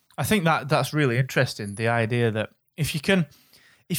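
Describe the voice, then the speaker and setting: In an ordinary speaking voice, a man talks at a fairly quick pace and medium pitch, with a dry, close sound with no echo on a very clean recording with a silent background. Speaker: podcast host. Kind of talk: interview.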